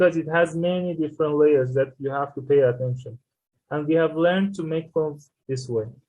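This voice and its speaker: A man speaks at a fairly quick pace with a non-native accent. His pitch is fairly high, with ordinary variation. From Iran. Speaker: filmmaker and screenwriter. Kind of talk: interview. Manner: halting.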